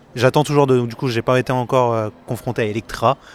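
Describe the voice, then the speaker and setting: The delivery is very fast, with fairly even intonation. The sound is dry and close, without echo. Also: man. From northern France, Picardy (Saint-Quentin). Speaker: comic artist. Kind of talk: interview. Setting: convention floor.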